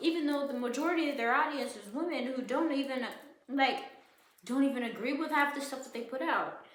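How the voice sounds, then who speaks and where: Mumbling in a high pitch, a woman speaks with audible room echo around her. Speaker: podcaster. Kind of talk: casual rant. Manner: halting, repetitive.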